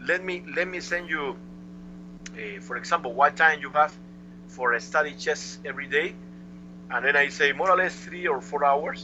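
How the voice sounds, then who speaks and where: A man with a Cuban accent keeps a moderate pace but leaves long, frequent pauses. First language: Spanish. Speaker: chess master. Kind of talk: interview answer. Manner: lively.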